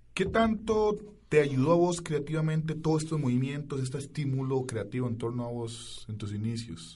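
A somewhat breathy, fairly high male voice at a moderate pace, lively in intonation, with audible room echo. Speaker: radio host. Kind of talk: radio interview.

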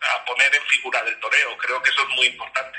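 Fairly quick speech from a man, with noticeable background noise behind it. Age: 30s. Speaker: bullfighter manager and promoter. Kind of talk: interview.

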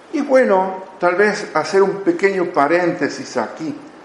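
Noticeable background noise and audible room echo fill the recording. A man speaks with lively intonation. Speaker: missionary speaker. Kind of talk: lecture.

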